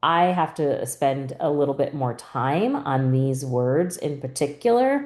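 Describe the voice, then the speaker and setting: A woman speaks at a very slow pace with a very deep, low pitch. Her tone is dark and mellow. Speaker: reading teacher. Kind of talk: tutorial. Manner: clear, deliberate syllable-by-syllable articulation.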